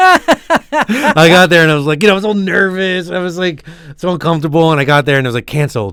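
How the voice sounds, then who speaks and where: A man with an American accent speaks at a very fast pace in a high voice, with ordinary pitch variation. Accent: Philadelphia, toned down but still noticeable. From South Philadelphia. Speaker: podcast co-host. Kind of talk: casual chat.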